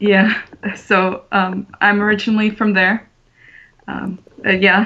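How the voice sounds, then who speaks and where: A woman's bright, sharp voice at a medium pitch, monotone and flat, at a very slow pace. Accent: slight Russian. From Russia, Moscow. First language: Russian. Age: young. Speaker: artist. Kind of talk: casual chat. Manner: halting.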